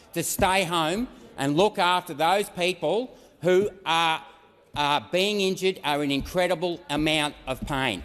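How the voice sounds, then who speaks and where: Against a quiet background, a man with a high voice speaks in a passionate tone at a fairly slow pace, with ordinary pitch variation. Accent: Australian. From Australia. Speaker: senator. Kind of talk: parliamentary speech.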